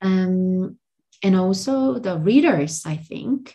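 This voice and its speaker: In a Korean accent, a woman speaks with a fairly low pitch and a dark, mellow tone. Her voice is somewhat breathy, and her intonation is lively. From South Korea. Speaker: translator and language tutor. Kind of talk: interview conversation.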